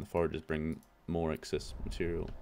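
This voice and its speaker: Speaking at a moderate pace, a man uses a very deep, low pitch. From Australia. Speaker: gaming YouTuber. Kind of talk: gameplay commentary.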